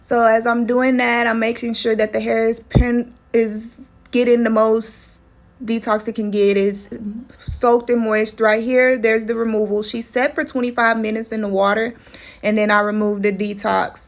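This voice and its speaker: In a Texan accent, a woman with a fairly high pitch speaks at a moderate pace in a monotone, flat intonation. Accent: Texas country. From Texas. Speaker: loctician. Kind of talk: tutorial voiceover. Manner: casual.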